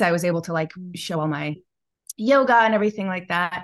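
A woman has a plain, everyday voice, fairly low in pitch. She talks at a fairly quick pace against a quiet background. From US Midwest, Chicago. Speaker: yoga teacher and wellness business owner. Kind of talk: casual interview chat.

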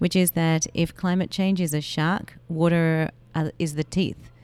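A woman with an Australian accent speaks at a fairly low pitch in a flat, monotone delivery. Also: very clean recording, silent background. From Melbourne, Australia. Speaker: water advocate and marathon runner. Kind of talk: interview. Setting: in person.

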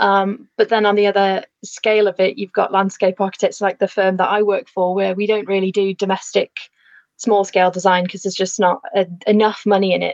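Delivery comes fairly quickly with a Lancashire accent. Intonation is monotone and flat, and the sound is dry and close, without echo. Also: woman, medium pitch for a woman. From northern England, Lancashire. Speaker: landscape architect and photographer. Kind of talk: casual chat.

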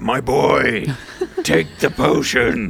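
A man uses a put-on character voice with a raspy edge at a medium pitch. Clear background noise runs behind him. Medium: actual play. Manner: earnest, motivational.

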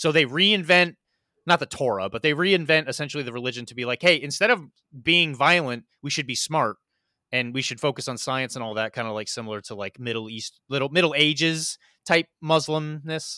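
A man speaks with an American accent at a fairly quick pace, his pitch fairly high and his intonation lively. His tone is bright and sharp, his loudness swings widely, and the recording is very clean with a silent background. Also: dry, close sound with no echo. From US Midwest (rural Missouri). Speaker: podcast host, wargaming guest. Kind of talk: casual chat.

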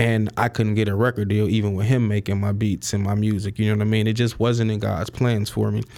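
Fairly quick and fairly low-pitched, this man talks in a monotone, flat intonation. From Chicago, South Side. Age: 30s. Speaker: real estate investor. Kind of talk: interview. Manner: casual.

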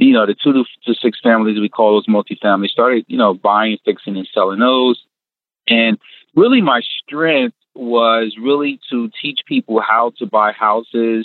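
Here a man has a plain, everyday voice at a medium pitch. He keeps a moderate pace with fairly even intonation. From northern New Jersey. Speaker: real estate investor. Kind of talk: interview.

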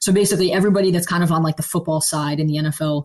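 A woman speaks very fast at a fairly low pitch. Her voice is somewhat breathy. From Philadelphia area, Pennsylvania. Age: 20s. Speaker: football scouting staffer. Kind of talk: interview. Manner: hesitant, many fillers.

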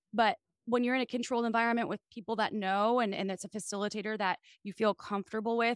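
Animated in tone, a woman with an American accent speaks with ordinary pitch variation in a very clean recording, silent in the background, with a dry, close sound and no echo. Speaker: sex podcast host and sex toy executive. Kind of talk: casual chat.

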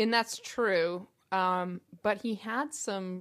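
A woman talks at medium pitch with fairly even intonation and a plain, everyday voice. The recording is very clean, with a silent background. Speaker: guest. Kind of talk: casual chat.

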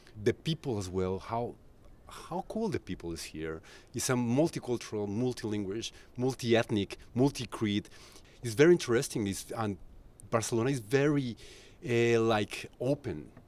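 With a Spanish accent, a man of medium pitch speaks at a moderate pace with lively intonation. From Colombia. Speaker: tour guide and music journalist. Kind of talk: casual interview. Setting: rooftop terrace. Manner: halting.

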